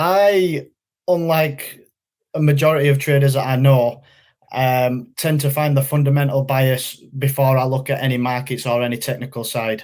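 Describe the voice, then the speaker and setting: On a very clean recording with a silent background, a man in a Yorkshire accent speaks at a moderate pace with a fairly high pitch and fairly even intonation. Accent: Yorkshire accent, noticeable. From northern England, West Yorkshire. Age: 20s. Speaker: funded trader. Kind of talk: interview. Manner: hesitant, many fillers.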